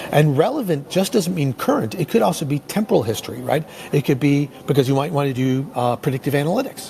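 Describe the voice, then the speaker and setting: Noticeable background noise sits behind a man with a fairly high pitch and lively intonation. He talks at a very fast pace with hardly any pauses. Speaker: tech company presenter. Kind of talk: webinar presentation. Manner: halting, many fillers.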